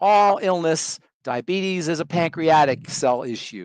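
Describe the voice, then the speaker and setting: A man speaks in an animated tone at a high pitch. His pace is fairly slow against a quiet background. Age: 60s. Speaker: compounding pharmacist, skincare specialist. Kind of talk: radio interview.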